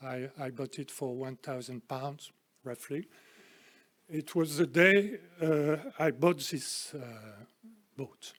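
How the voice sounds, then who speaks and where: With a French accent, a man talks at a very slow pace with long, frequent pauses, big swings in loudness, a fairly high pitch and ordinary pitch variation. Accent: French accent, noticeable. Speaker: speaker at a literary society event. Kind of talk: lecture. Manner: halting, many hesitations.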